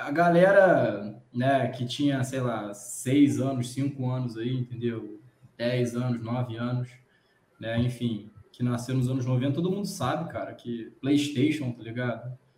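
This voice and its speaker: At a fairly slow pace, a man talks in an unremarkable speaking voice with medium pitch and ordinary pitch variation. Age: 30s. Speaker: podcast host. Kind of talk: casual chat.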